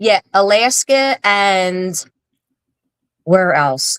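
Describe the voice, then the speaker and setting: A woman with a strong Philadelphia accent talks at a medium pitch with lively intonation. The sound is dry and close, with no echo. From Philadelphia, South Philly. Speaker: social media influencer. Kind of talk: casual interview chat.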